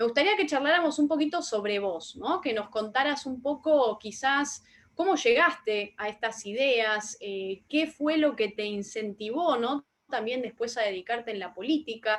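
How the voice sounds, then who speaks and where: Speaking with a Rioplatense accent, a woman uses a high pitch and lively intonation at a fairly slow pace. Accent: Argentine Spanish (rioplatense). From Argentina. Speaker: interviewer, online talk show host. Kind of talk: interview. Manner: hesitant, many fillers.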